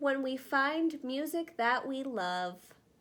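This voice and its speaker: Putting on a character voice, a woman speaks very slowly in a high pitch. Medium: read story.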